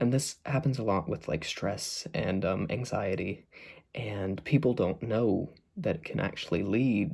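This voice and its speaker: Soft-spoken and somewhat breathy, a man of medium pitch talks at a fairly slow pace with very wide pitch swings, in a very clean recording with a silent background. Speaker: mental health vlogger. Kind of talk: casual talk to camera. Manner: soft-spoken, getting quieter; hesitant, many fillers.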